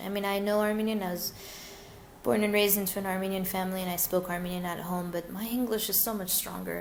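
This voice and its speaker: A woman with an American accent speaks at a medium pitch. Audible room echo and noticeable background noise surround her voice. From US West Coast, Glendale, California. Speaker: English teacher, repatriate. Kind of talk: webinar interview Q&A. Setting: live webinar. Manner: animated.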